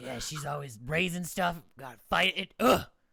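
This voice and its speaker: Using a raspy, put-on character voice, a man with a fairly high pitch speaks at a moderate pace. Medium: actual play. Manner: gruff, suspicious, prickly.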